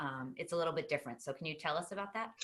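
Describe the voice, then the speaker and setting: A woman with a Boston accent, her voice very deep and low, with ordinary pitch variation. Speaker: talk show host. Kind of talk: interview.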